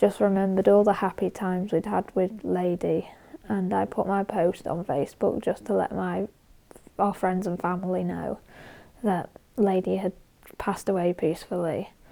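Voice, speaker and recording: A woman with a British accent speaks at a fairly slow pace in a medium pitch, her tone dark and mellow, on a very clean recording with a silent background. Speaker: horse-riding vlogger. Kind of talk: personal vlog update. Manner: halting.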